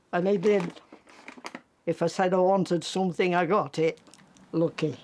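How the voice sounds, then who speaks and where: With an East Midlands accent, a woman speaks at a moderate pace in a fairly low pitch, with fairly even intonation and very even loudness. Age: 90s. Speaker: car seller. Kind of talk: casual chat.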